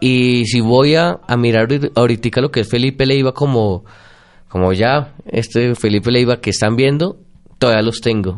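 Speaking at a moderate pace, a man keeps his loudness very even and his pitch variation ordinary. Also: medium pitch for a man. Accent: Bogotá. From Bogotá, Colombia. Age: 30s. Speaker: psychologist and lecturer. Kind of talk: interview. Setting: radio studio with Facebook live stream.

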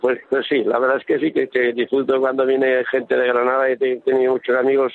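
At a fairly quick pace, a man talks at a medium pitch. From Aragon, Spain (Villanueva de Gállego). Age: 70s. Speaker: retired footballer. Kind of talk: radio interview.

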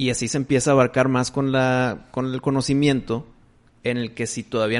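With fairly even intonation, a man talks in an unremarkable speaking voice. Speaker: podcast host. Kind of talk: casual chat.

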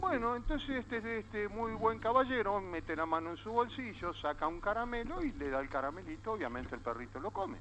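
Over music in the background, a man talks in a high pitch at a fairly quick pace, with hardly any pauses. His pitch swings very widely. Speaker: caller. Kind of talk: joke telling. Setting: phone call.

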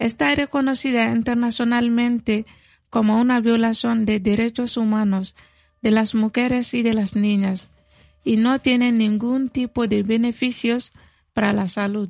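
At a fairly slow pace, a woman with a fairly high pitch speaks with fairly even intonation and very even loudness in an ordinary speaking voice. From Mali, south (Mandinka). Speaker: community health worker and activist. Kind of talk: radio interview. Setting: studio.

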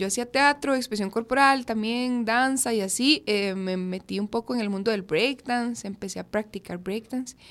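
A normal speaking voice from a woman with fairly high pitch, fairly slow pace and ordinary pitch variation, very clean recording against a silent background. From Costa Rica, Curridabat. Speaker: rapper. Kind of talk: radio interview. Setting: radio studio.

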